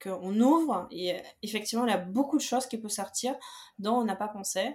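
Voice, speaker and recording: Her pitch is fairly high. This woman's pitch varies in an ordinary way. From Belarus. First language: Belarusian or Russian (speaking French). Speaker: personal finance coach. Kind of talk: podcast interview.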